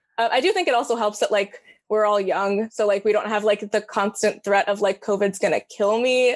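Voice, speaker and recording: Against a quiet background, a woman with an American accent and an ordinary speaking voice talks in a fairly high pitch with fairly even intonation, very even loudness and hardly any pauses. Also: fairly quick pace. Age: 20s. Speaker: college student. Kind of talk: casual interview.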